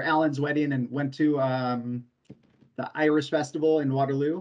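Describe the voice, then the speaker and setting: Against a quiet background, a man with an American accent talks at a fairly quick pace in a fairly high, flat, monotone voice. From Southern California, Orange County; California. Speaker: sales and service employee; sales. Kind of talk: interview. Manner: halting. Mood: relaxed, friendly. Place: home room. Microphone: video call.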